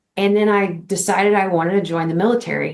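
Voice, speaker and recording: An unremarkable speaking voice talks at a fairly quick pace in an American accent. The intonation stays fairly even. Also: woman. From Texas, Dallas-Fort Worth area. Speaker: army veteran, educator and basketball coach. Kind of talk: podcast interview.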